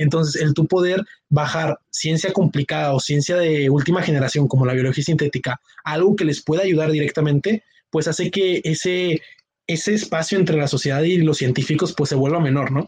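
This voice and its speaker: A man with a plain, everyday voice talks at a fairly quick pace and a fairly high pitch, his intonation fairly even, in a dry, close sound with no echo. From Monterrey, northern Mexico. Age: 20s. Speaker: university student, competition team member. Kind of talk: casual chat.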